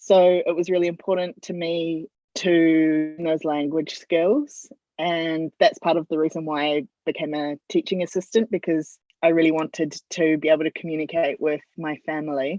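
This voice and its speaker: With a New Zealand accent, a woman speaks in a fairly low voice at a moderate pace, her intonation fairly even. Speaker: football media and communications consultant. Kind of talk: interview.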